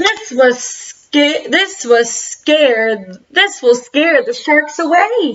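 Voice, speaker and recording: Using a put-on character voice, a woman talks with a high pitch and very wide pitch swings. Her pace is very slow, yet there are hardly any pauses. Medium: read story.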